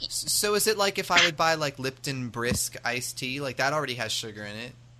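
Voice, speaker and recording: Someone with an American accent talks at a fairly quick pace. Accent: American, sounds generic. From United States. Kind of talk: casual chat.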